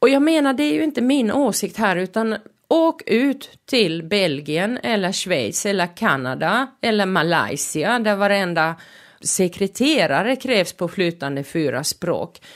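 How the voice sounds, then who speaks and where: A woman with a Finnish accent at a medium pitch, very wide pitch swings, very even loudness and a fairly slow pace, on a very clean recording with a silent background. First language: Finnish (speaking Swedish). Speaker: podcast host. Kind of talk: podcast monologue. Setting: studio.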